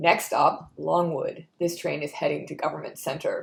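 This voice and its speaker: A raspy, put-on character voice at a middle pitch and moderate pace. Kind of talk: flat, recorded-sounding announcement.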